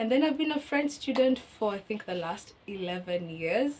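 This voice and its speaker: A woman speaks in a Kenyan accent. Her pitch swings very widely. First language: Kikuyu. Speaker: language teacher. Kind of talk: casual chat.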